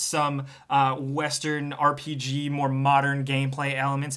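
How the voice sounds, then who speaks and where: A man with an American accent speaks at a moderate pace in a fairly high pitch. Noticeable background noise runs under his voice. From New York tri-state area. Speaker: gaming video reviewer. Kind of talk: casual video review monologue. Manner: animated.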